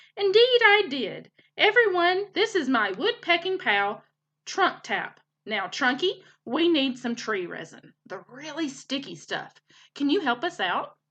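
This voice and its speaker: A woman uses a put-on character voice, high in pitch with very wide pitch swings. She goes at a fairly slow pace against a quiet background. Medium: read story. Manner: hearty, folksy.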